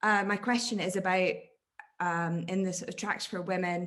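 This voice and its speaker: A woman with a Scottish accent. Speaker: academic audience member asking a question. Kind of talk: Q&A question at an online academic talk. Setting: video call. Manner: halting, many fillers.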